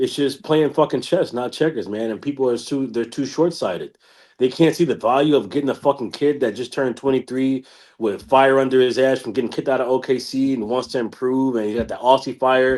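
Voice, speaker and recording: Speaking at a fairly quick pace, a man with a medium pitch sounds animated on a very clean recording with a silent background. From United States. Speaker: podcast panelist. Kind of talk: casual chat.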